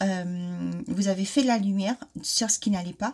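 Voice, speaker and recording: A woman speaks at a medium pitch with fairly even intonation and a somewhat breathy quality. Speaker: card reader. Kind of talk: oracle card reading. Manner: hesitant, many fillers.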